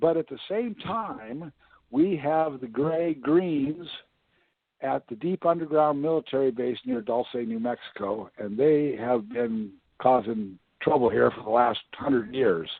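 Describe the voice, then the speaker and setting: A man with a US Midwestern accent, medium in pitch, lively in intonation, at a fairly slow pace. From Iowa, US Midwest. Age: 60s. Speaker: independent presidential candidate. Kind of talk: interview.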